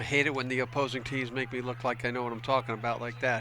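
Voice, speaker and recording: A man speaks very fast with an American accent, his pitch sitting in the medium range. His intonation stays flat and monotone over noticeable background noise. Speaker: football color commentator. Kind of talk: live commentary.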